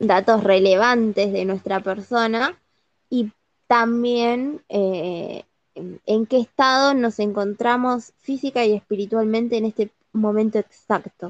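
The woman's voice is fairly high, with fairly even intonation. She speaks at a very slow pace in a dry, close sound with no echo. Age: 30s. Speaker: podcast co-host. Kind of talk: casual chat.

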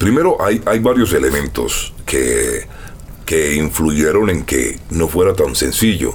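A man speaks at a very slow pace with very even loudness. Noticeable background noise is present. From Colombia, Barranquilla. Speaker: voice actor. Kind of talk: casual interview.

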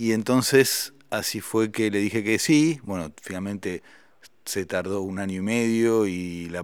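On a very clean recording with a silent background, a man with a plain, everyday voice speaks at a fairly low pitch with fairly even intonation. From Argentina. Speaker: musician and writer. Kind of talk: interview conversation.

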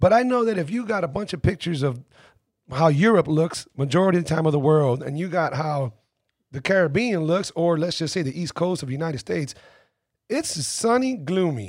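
A plain, everyday voice from a man, fairly high in pitch, fairly quick in pace, with lively intonation. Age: 40s. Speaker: podcast host. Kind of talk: casual interview chat. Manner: laid-back, conversational.

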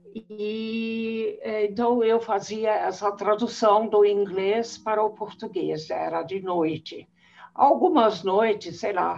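A woman's fairly high voice at a very slow pace. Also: ordinary pitch variation. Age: 80s+. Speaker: retired conference interpreter. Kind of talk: interview.

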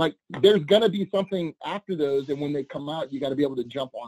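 A man with an American accent at a very fast pace. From US South, New Orleans. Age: 40s. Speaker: content creator. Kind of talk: casual chat. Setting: video call.

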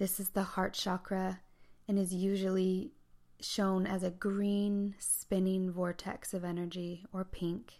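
The tone is calm, soothing, dark and mellow. Delivery is fairly slow, with a monotone, flat intonation. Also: woman, medium pitch for a woman. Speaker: podcast host and meditation guide. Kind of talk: guided meditation. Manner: slow, calm, soothing; intimate, incantatory, reverent.

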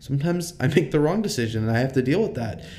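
A man talks very fast in a dark, mellow tone. Room echo is audible. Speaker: student leader. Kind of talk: interview.

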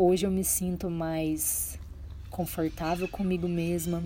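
Very slowly and in a flat monotone, a woman speaks with a fairly low pitch and a dark, mellow, somewhat breathy tone. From Minas Gerais, Brazil (Triângulo Mineiro). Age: 30s. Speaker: podcaster, wellness and lifestyle talk. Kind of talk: personal monologue. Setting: at home, early morning.

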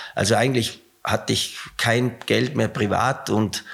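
With ordinary pitch variation, a man talks using vocal fry. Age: 60s. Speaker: company CEO, former rowing coach. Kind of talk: interview.

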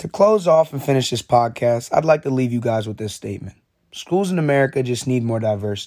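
The speaker has a plain, everyday voice. Delivery is at a fairly quick pace with lively intonation. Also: man, medium pitch for a man. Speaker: student. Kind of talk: scripted narration.

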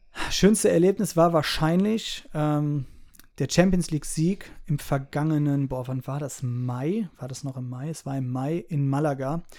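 Fairly high-pitched man with a dark, mellow tone, fairly slow in pace, with ordinary pitch variation and big swings in loudness, in a very clean recording with a silent background. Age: 30s. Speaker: rapper. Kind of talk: casual interview.

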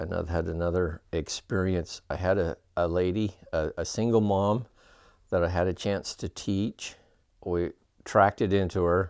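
Very deep and low in pitch, a man with an American accent speaks at a moderate pace with fairly even intonation, in a very clean, dry, close recording with a silent background and no echo. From Utah (Ogden area). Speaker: church member telling life story. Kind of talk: testimony. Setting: his home.

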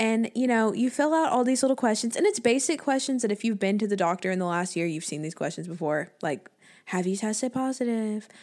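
The speaker has a normal speaking voice, talking at a fairly quick pace with lively intonation. The recording is very clean, with a silent background. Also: woman, fairly high pitch for a woman. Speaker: podcast co-host. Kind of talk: casual chat.

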